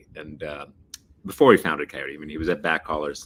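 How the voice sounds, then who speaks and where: This man has a very deep, low voice. He speaks with a slight New York accent. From Texas, Dallas. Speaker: freight industry executive. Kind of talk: interview.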